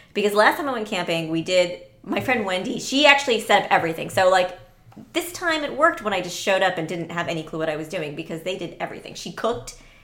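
Talking at a very fast pace with an American accent, a woman uses a medium pitch, lively intonation and big swings in loudness over noticeable background noise. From Orlando, Florida (Sri Lankan parents). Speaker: podcast guest. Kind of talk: casual chat.

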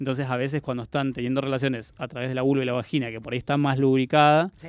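A fairly high-pitched man's voice at a very fast pace. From Argentina, Patagonia (Chubut). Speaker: proctologist. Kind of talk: radio interview. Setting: radio studio.

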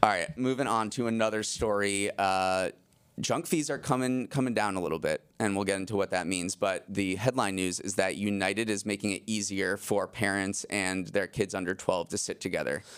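With an American accent and a plain, everyday voice, a man speaks at a moderate pace and fairly low pitch, with hardly any pauses. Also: ordinary pitch variation, very clean recording, silent background. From Massachusetts, US. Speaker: news podcast host and managing editor. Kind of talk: casual news talk.

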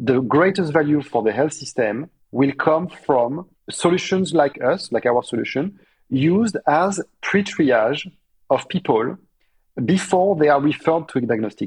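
A man speaks with a French accent at a fairly slow pace. His pitch is fairly high, his intonation lively, and his loudness very even. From France. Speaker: startup co-founder and COO. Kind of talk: interview answers.

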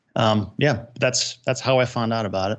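A man with a plain, everyday voice speaks at medium pitch and a moderate pace, with ordinary pitch variation over a quiet background. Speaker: real estate investor.

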